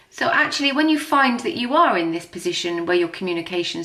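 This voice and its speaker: A woman's medium-pitched, bright, sharp voice at a moderate pace, with very wide pitch swings and audible room echo. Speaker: tarot and astrology reader. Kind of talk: tarot reading.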